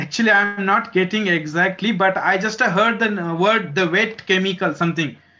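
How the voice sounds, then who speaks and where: A man with an Indian accent uses a raised, projected voice at a high pitch, with a moderate pace and fairly even intonation. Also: very even loudness. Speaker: research professor in solar cell materials. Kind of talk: technical lecture. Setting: video call. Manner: halting. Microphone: video call.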